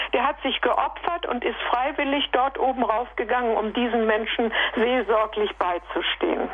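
Over noticeable background noise, a woman talks at a moderate pace with a high pitch and ordinary pitch variation. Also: very even loudness. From Sudetenland, then Sorbian Lusatia. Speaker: radio listener caller. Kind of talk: call-in testimony. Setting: phone call.

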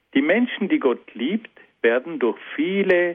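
A man is speaking. His pitch swings very widely. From South Tyrol, Italy. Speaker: philosophy lecturer. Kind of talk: lecture. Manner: formal.

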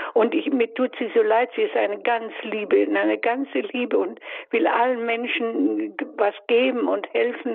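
A woman's fairly slow speech comes through with noticeable noise behind it. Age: 80s+. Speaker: caller. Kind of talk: phone-in question. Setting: phone call. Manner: halting.

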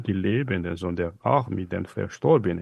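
A man speaks with a Malagasy accent and lively intonation against a quiet background. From northern Madagascar. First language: Malagasy (speaking German). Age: 40s. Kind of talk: radio interview. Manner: halting.

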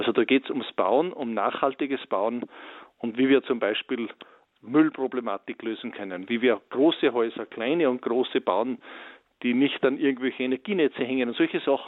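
Here is an unremarkable speaking voice from a man at medium pitch. He keeps a moderate pace with ordinary pitch variation. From Austria, Salzburg region. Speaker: forester and timber builder. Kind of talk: radio interview. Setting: phone call.

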